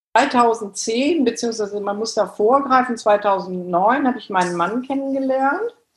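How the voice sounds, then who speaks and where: In a plain, everyday voice, a fairly high-pitched woman talks at a fairly slow pace with hardly any pauses and big swings in loudness. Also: ordinary pitch variation. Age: 50s. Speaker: works council chair and bank supervisory board member. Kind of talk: interview.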